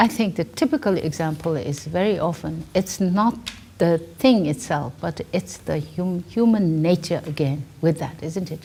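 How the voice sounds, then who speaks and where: Fairly low in pitch, a woman speaks at a fairly slow pace with vocal fry. Her tone is dark and mellow, her intonation lively. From Tibet. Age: 70s. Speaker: director of a nonprofit for nuns. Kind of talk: interview. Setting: filmed interview with students. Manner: halting, with repetitions and fillers.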